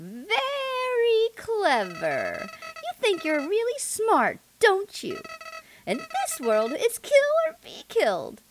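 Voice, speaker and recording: An extremely high put-on character voice at a very slow pace, with music in the background. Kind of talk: game dialogue read aloud. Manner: taunting, smug, menacing.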